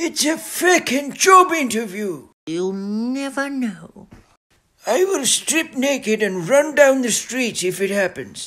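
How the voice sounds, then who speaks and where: Putting on a character voice, a man projects loudly at a fairly slow pace, his extremely high pitch swinging very widely. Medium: comedy sketch. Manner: gruff.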